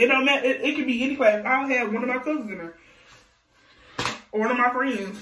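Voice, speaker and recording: In a room with audible echo, a woman talks at a very fast pace and high pitch with ordinary pitch variation, broken by long, frequent pauses. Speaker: vlogger. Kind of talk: storytime. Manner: animated.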